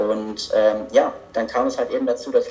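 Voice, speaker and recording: Music runs in the background while a man speaks. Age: 20s. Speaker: author and seminar assistant. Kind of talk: interview.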